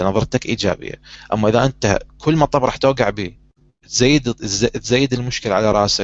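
This is a plain, everyday voice speaking at a moderate pace with fairly even intonation. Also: man. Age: 30s. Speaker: talk show host. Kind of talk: casual chat.

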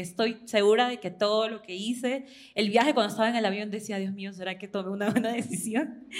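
A woman speaks in an ordinary speaking voice, fairly high in pitch, at a moderate pace. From Ecuador. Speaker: student and fan in live audience. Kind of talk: audience testimony at live event.

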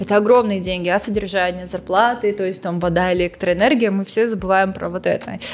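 A woman at medium pitch speaks at a fairly quick pace with hardly any pauses. Her intonation is fairly even, and noticeable background noise is present. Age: 20s. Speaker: cultural center director. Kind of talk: casual chat.

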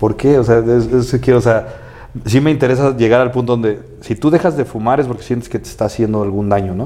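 Fairly quick and fairly even in intonation, a man talks at a medium pitch over noticeable background noise. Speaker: podcast host. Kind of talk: casual chat.

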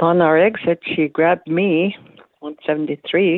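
The woman's intonation stays fairly even as she speaks. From Manitoulin Island, Ontario, Canada (First Nations). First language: Anishinaabemowin (Ojibwe/Odawa). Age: 70s. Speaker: retired teacher and community elder. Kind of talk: personal testimony.

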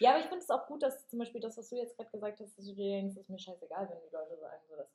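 Her delivery races along very quickly. This woman's voice sits fairly high. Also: hardly any pauses, big swings in loudness. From Germany. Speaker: podcast co-host, yoga teacher. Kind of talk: casual chat.

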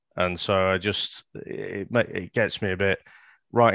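A man's very deep, low voice with a Liverpool accent and fairly even intonation, dry and close with no echo, against a quiet background. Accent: Scouse. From Liverpool, England. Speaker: podcast co-host. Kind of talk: casual chat.

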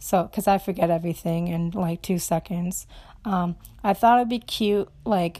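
A woman speaks in a medium pitch with fairly even intonation. Her tone is dark and mellow. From Romania, raised in Minnesota from about age 6. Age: 20s. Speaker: college student podcaster. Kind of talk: casual solo monologue. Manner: casual, hesitant with fillers.

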